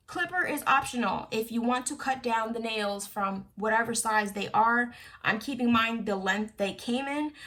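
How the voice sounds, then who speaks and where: Against noticeable background noise, a woman talks with hardly any pauses and with ordinary pitch variation. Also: fairly high pitch for a woman, moderate pace. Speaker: beauty YouTuber. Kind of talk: tutorial. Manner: casual with many fillers.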